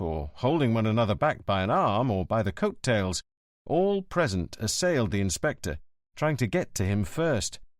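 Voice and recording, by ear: A natural voice reads aloud, and the surroundings stay quiet.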